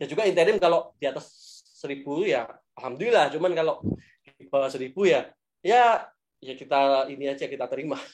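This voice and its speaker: A man with a fairly high voice talks with big swings in loudness. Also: lively intonation, fairly quick pace. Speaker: stock investing speaker. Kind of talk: webinar Q&A.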